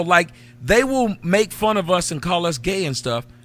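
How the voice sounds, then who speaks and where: In a Southern US accent, a man speaks at a fairly slow pace in a bright, sharp tone, his pitch swinging very widely. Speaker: livestream talk show host. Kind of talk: casual chat.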